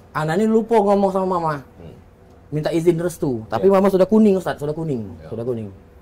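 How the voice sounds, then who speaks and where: The voice has a dark, mellow tone and lively intonation, moving at a very fast pace. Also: man, high pitch for a man. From Palembang, Indonesia. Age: 30s. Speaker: deputy mayoral candidate, former legislator. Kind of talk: interview, casual chat. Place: studio. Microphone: lapel.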